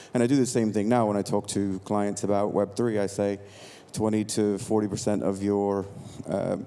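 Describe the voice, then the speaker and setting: The speaker has an American accent and a monotone, flat intonation. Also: man, fairly low pitch for a man, moderate pace, very even loudness. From United States. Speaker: tech entrepreneur. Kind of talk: conference talk. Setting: stage with audience. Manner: casual, with many fillers.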